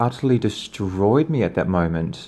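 Over a quiet background, a man speaks fairly slowly with lively intonation and a dark, mellow tone. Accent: New Zealand. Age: 30s. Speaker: podcaster. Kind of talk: personal storytelling.

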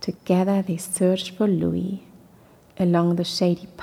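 The clip has a natural voice reading aloud.

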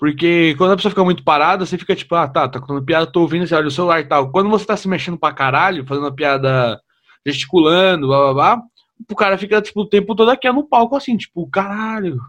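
A man with a high pitch at a very fast pace. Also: lively intonation. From São Paulo, Brazil. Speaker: podcast host and comedian. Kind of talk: casual interview.

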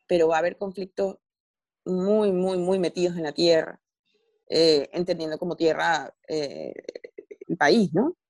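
Heard with a dry, close sound and no echo, a woman with a fairly low pitch speaks at a moderate pace with fairly even intonation. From Venezuela. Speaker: journalist and novelist. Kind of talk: interview conversation.

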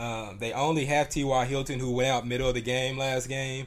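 With an unremarkable speaking voice, a man talks at a moderate pace in a medium pitch, using ordinary pitch variation. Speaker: podcast co-host. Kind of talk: casual sports chat.

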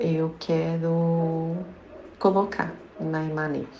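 A woman's very deep, low voice with fairly even intonation, amid audible room echo and noticeable background noise. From Minas Gerais, Brazil. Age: 30s. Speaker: candle maker and small business owner. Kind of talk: interview.

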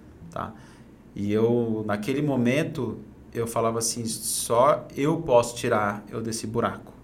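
Speaking at a fairly slow pace with ordinary pitch variation, a man is heard in audible room echo. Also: medium pitch for a man. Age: 30s. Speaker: entrepreneur and personal development coach. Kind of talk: casual interview chat.

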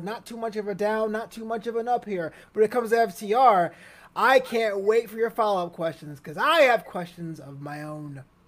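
A man's high-pitched voice at a fairly quick pace, with ordinary pitch variation and big swings in loudness. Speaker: wrestling pundit. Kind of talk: casual chat. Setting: video call.

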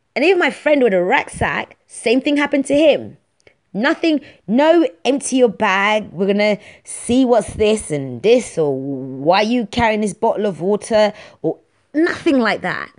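At a fairly slow pace, a woman with a London accent speaks in a fairly high, animated voice with very wide pitch swings. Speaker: podcast host. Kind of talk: casual monologue. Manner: talkative, animated.

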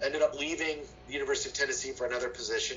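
A man with an American accent talks as noticeable background noise fills the recording. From Ohio, US Midwest. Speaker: political science professor. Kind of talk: interview.

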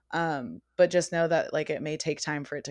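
A woman with a West Coast American accent talks at a fairly quick pace with fairly even intonation against a quiet background. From Northern California, US. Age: 20s. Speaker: podcast guest living with Lyme disease. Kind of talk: casual interview chat.

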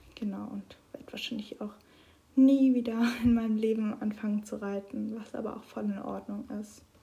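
Her fairly high pitch and dark, mellow tone come through a somewhat breathy voice as the woman speaks in a monotone, flat way with big swings in loudness. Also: moderate pace. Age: 20s. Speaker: podcaster. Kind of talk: personal monologue.

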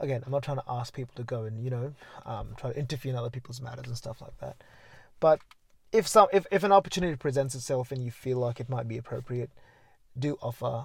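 Speaking at a very fast pace, a man's somewhat breathy voice shows big swings in loudness. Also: medium pitch for a man, ordinary pitch variation. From India. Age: 20s. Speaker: podcast guest, student. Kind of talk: casual interview about mental health. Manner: hesitant, many filler words.

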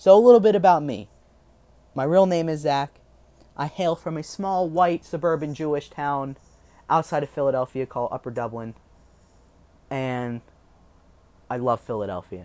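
Pausing long and often, a man speaks at a moderate pace in a fairly high voice with lively intonation. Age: 20s. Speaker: podcast host. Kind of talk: casual monologue. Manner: halting.

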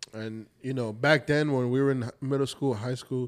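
An ordinary speaking voice with an American accent. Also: man. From New Jersey. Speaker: podcast co-host. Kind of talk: casual banter.

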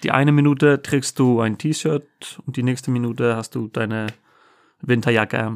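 Speaking with an Icelandic accent, a man of medium pitch keeps a moderate pace and fairly even intonation in a dry, close recording with no echo. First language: Icelandic (speaking German). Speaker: host's husband. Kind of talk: casual chat. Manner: halting.

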